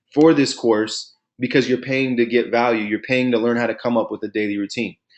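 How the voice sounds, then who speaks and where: A man with a medium-pitched voice speaks in an energetic tone. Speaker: online marketing course instructor. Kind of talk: webinar tutorial. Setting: live webinar screen share. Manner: fast; casual, energetic.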